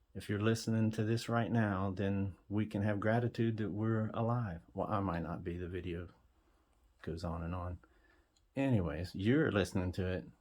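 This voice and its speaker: Against a quiet background, a man speaks at a moderate pace in a fairly low pitch with ordinary pitch variation. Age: 50s. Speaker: musician talking about his song. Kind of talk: casual monologue. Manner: halting.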